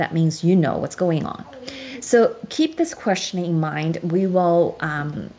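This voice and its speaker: Over noticeable background noise, a woman talks in a fairly low pitch with ordinary pitch variation. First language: Chinese. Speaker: show host explaining a legal case. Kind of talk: lecture with slides. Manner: halting.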